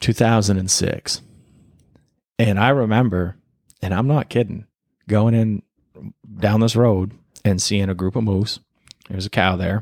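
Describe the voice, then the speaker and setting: A man with an American accent speaks at a fairly slow pace in a fairly low pitch, with fairly even intonation, long, frequent pauses and a dry, close sound with no echo. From Maine, US. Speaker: podcast host and hunting guide. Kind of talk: casual chat.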